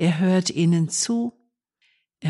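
A woman talks very slowly in a calm, soothing tone that is somewhat breathy. The background is quiet. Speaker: nun presenting a radio meditation. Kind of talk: reflective devotional talk. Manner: calm, soothing, gentle.

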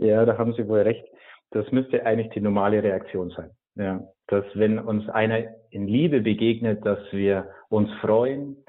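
At a fairly slow pace, a man speaks with a fairly low pitch and fairly even intonation. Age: 30s. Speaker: priest and monk. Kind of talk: radio interview on faith. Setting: remote call-in to radio. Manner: hesitant, with frequent filler sounds.

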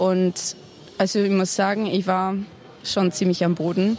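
A woman's voice at medium pitch. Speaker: youth pilgrim. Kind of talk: interview testimony. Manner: hesitant, many fillers.

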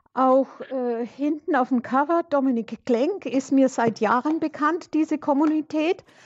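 With a high pitch and ordinary pitch variation, a woman speaks at a fairly slow pace. The sound is dry and close with no echo, over a quiet background. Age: 70s. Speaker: radio caller. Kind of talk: call-in.

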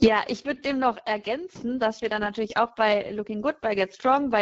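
Ordinary pitch variation in an unremarkable speaking voice. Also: woman. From Bonn, western Germany. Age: 30s. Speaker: consecrated laywoman and youth leader. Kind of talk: radio call-in discussion. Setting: remote line into radio studio.

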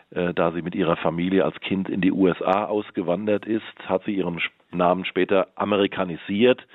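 A man speaks at a fairly slow pace with very deep, low pitch. His intonation stays fairly even. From Hesse, Wetterau (born Rhineland). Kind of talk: radio interview. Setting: phone call. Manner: hesitant, many filler sounds.

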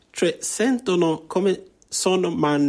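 On a very clean recording with a silent background, the intonation sounds lively. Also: man. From Rwanda. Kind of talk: interview via interpreter.

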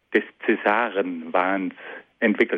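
This is a man speaking. His pitch sits fairly low. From South Tyrol, Italy. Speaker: philosophy lecturer. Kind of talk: lecture. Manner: formal.

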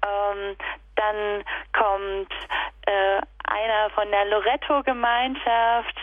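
A woman is speaking. Her pitch is medium. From Upper Lusatia, Saxony (Sorbian region). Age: 30s. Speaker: kindergarten teacher and festival organiser. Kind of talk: radio interview. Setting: phone call.

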